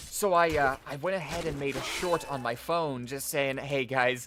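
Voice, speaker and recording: Music plays in the background as a man speaks. His pace is fairly slow and his intonation fairly even. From Australia. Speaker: gaming streamer. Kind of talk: casual chat while live streaming a game. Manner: halting, many fillers.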